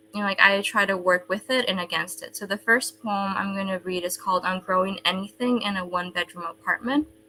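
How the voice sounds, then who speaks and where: A woman at a very fast pace over noticeable background noise. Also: medium pitch for a woman, ordinary pitch variation, hardly any pauses. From El Salvador. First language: Spanish. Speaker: poet. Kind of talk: casual talk.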